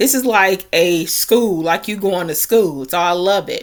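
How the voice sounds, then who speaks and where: Moderate pace and ordinary pitch variation in an ordinary speaking voice. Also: woman. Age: 30s. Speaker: online marketer and content creator. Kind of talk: screen-share tutorial walkthrough. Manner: casual, conversational.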